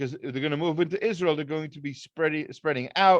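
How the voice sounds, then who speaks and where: This man has a fairly high pitch and ordinary pitch variation. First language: not English. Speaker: rabbi teaching a weekly Torah class. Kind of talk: lecture. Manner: halting, many fillers and restarts.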